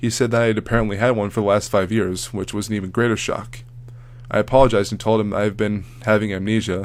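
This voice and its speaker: A man's very fast, monotone delivery, flat in intonation and fairly low in pitch. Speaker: creepypasta narrator. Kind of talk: horror story narration.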